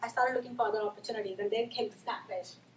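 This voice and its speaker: Very fast speech against noticeable background noise. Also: woman. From India. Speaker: marketing manager. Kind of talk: presentation.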